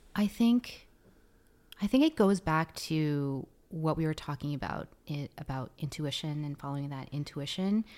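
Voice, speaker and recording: Recorded very cleanly over a silent background, a woman with a very deep, low voice talks at a moderate pace with lively intonation. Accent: Canadian. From Vancouver, Canada. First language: Tagalog. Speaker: sound therapist and podcast host. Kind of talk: interview conversation.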